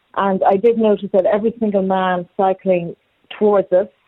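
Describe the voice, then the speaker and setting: Monotone, flat intonation marks this moderate-paced speech with an Irish accent. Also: woman. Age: 50s. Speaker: caller, mother. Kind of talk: radio phone-in discussion. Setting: phone call.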